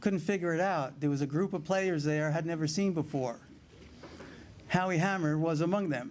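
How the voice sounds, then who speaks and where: In a New York accent, a man speaks at a high pitch with ordinary pitch variation. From New York City (Brooklyn). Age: 70s. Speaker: paddleball player, hall of fame inductee. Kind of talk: acceptance speech. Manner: halting.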